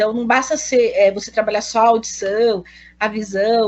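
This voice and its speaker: At a moderate pace, a woman speaks with fairly even intonation in a fairly high voice. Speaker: pedagogy student. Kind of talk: thesis defense presentation. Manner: halting.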